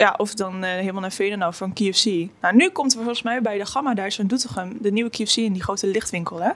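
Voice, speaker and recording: The pace is very fast. Pitch variation stays ordinary. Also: woman, medium pitch for a woman. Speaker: podcast co-host. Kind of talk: casual chat.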